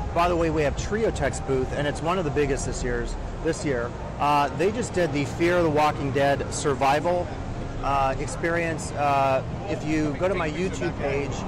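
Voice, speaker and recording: Moderate pace with ordinary pitch variation, in a dry sound with no echo and noticeable background noise. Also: man. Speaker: industry commentator. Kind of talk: walkthrough commentary. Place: hall. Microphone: phone near.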